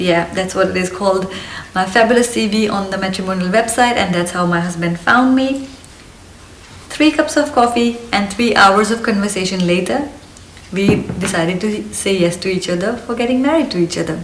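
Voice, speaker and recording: With a slight Indian accent, the speaker talks at a moderate pace with ordinary pitch variation, amid audible room echo and noticeable background noise. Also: woman, medium pitch for a woman. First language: Hindi. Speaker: lifestyle vlogger. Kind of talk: casual vlog monologue. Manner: energetic.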